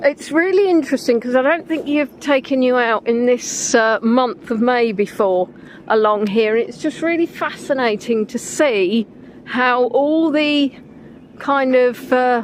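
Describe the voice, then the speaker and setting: Over noticeable background noise, a woman with an English accent speaks in a high pitch. Her pace is fairly slow and her pitch varies in an ordinary way. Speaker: livestreamer on walks. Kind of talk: casual live-stream chat. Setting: outdoors by a river. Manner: chatty, conversational.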